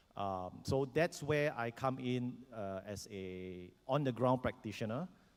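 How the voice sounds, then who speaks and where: A man with a Singaporean accent and a medium pitch speaks at a fairly slow pace with lively intonation. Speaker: educator and former soldier. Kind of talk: panel self-introduction. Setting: conference stage with audience. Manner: hesitant, many fillers.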